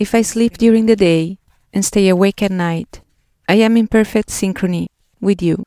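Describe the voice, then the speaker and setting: A woman with an Italian accent speaks at medium pitch in a dark, mellow tone. Her pace is moderate and her intonation fairly even. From Italy. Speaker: podcast host. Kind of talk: personal narrative essay. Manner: reflective.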